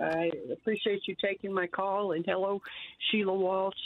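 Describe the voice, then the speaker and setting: This woman has an American accent and a medium pitch. She talks at a moderate pace with ordinary pitch variation. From US South. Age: 60s. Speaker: caller. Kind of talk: testimony. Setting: phone call.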